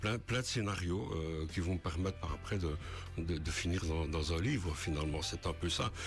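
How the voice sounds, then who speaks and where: Over music in the background, a man speaks at a fairly slow pace with audible room echo. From Belgium, Ardennes (Vielsalm). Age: 60s. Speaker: author, retired military. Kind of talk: radio interview. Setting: radio studio. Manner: halting, many hesitations.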